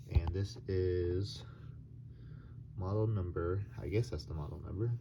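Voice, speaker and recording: The voice has a dark, mellow tone, sounds somewhat breathy, and moves at a fairly slow pace with ordinary pitch variation. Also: man, very deep, low pitch for a man. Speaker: YouTuber doing product reviews. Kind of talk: casual product review. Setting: at home, late at night. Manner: soft-spoken, talking quietly; hesitant, many fillers.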